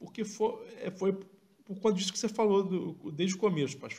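A man's high-pitched voice at a moderate pace. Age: 40s. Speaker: football podcast co-host. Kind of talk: live match analysis chat.

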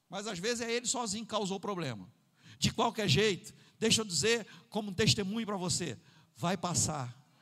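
Speaking at a fairly quick pace with long, frequent pauses, a man uses a high pitch and a bright, sharp, animated tone. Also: ordinary pitch variation. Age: 50s. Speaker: pastor. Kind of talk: sermon. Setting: church.

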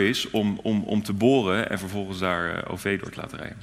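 A man's fairly low voice at a moderate pace, with ordinary pitch variation, noticeable background noise and audible room echo. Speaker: city alderman. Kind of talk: live panel interview. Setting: stage with audience.

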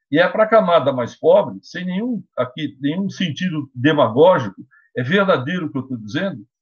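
At a fairly quick pace and fairly high pitch, a man speaks with vocal fry and very wide pitch swings. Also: big swings in loudness. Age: 50s. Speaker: law professor, lawyer and council candidate. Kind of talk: interview.

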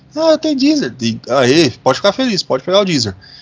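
This is a man speaking. His delivery is fairly quick. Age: 30s. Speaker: podcast host. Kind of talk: casual chat. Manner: animated.

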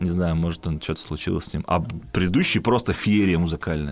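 A man with a very deep, low voice talks at a very fast pace with ordinary pitch variation over noticeable background noise. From Perm region / Bashkortostan, Russia. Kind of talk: casual chat.

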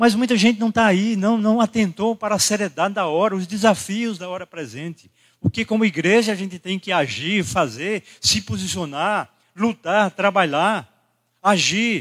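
A man's high voice at a moderate pace with ordinary pitch variation, in a very clean recording with a silent background and a dry, close sound with no echo. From Brazil, Rio Grande do Norte (Caicó). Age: 60s. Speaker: pastor. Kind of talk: sermon. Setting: church.

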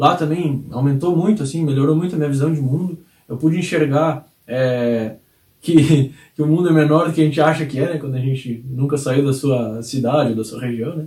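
Fairly high in pitch, a man talks at a moderate pace with ordinary pitch variation. His tone is dark and mellow and somewhat breathy. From rural Brazil. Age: 30s. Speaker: sales trainer and channel creator. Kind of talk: video monologue.

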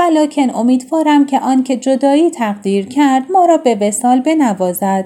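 Her loudness very even, a woman talks at a moderate pace in a high pitch with a dark, mellow tone and lively intonation. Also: hardly any pauses. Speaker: storyteller narrating classic tales. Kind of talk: reading aloud.

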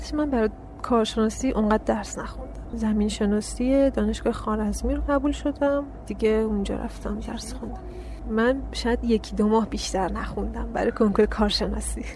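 A woman speaks at a moderate pace. Background noise is noticeable throughout. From Iran, Karaj (Afghan heritage). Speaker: graduate geology student. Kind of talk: interview.

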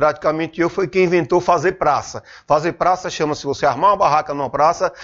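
This man's voice is high in pitch. He talks fairly quickly. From Sergipe, Brazil. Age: 50s. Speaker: businessman and salesman. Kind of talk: interview. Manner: halting, repeats words.

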